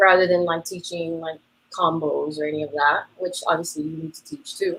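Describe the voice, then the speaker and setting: A woman's fairly low voice at a moderate pace, monotone and flat, with big swings in loudness. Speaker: dance teacher. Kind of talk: interview. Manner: casual, many fillers.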